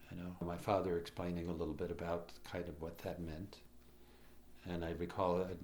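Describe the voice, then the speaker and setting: A man with a Chicago accent speaks at a moderate pace in a very deep, low voice, and the room echo is audible. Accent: Chicago American English. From Chicago, US (immigrated as a child in the 1950s). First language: Croatian. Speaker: immigrant telling family history. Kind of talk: personal oral history interview. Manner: halting, many fillers and restarts.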